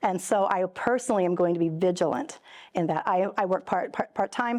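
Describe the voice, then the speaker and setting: A woman's medium-pitched voice at a fairly quick pace, with ordinary pitch variation and a quiet background. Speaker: middle school religion teacher. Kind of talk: interview. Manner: fast; halting, many repetitions.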